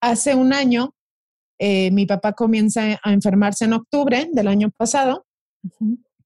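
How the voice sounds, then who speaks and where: A woman speaks at a moderate pace and fairly high pitch with ordinary pitch variation, her somewhat breathy voice in a dark, mellow tone at very even loudness, in a dry, close sound with no echo. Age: 30s. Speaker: social media wellness creator. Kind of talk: interview.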